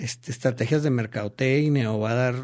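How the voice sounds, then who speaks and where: A man talks very quickly, and his pitch rises and falls in an ordinary way. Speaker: political consultant. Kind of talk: interview. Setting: studio.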